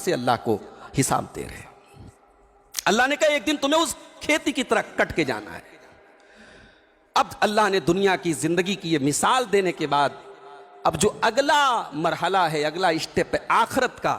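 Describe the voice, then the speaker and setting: Over noticeable background noise, a man's voice shows big swings in loudness and very wide pitch swings. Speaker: Islamic preacher. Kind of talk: Islamic sermon (bayan). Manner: emotional, emphatic, preaching.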